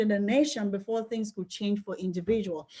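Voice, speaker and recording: With a Nigerian accent, a woman speaks in a somewhat breathy voice and fairly even intonation on a very clean recording with a silent background. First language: Yoruba. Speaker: life coach and book club host. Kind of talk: book club discussion. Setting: group call.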